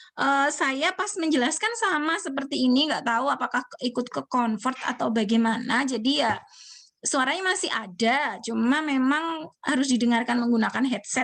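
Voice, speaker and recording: The background is quiet while a woman talks in a high voice, her pitch moving a normal amount. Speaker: university lecturer. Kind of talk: online lecture.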